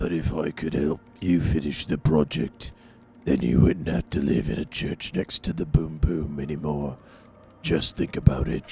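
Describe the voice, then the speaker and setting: A raspy put-on character voice from a man, pitched very deep and low. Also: moderate pace. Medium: video game.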